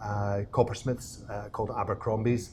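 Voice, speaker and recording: A man talks at a moderate pace with a Scottish accent. His voice is somewhat breathy. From Scotland, Glasgow. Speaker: distillery co-owner. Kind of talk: casual interview. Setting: distillery.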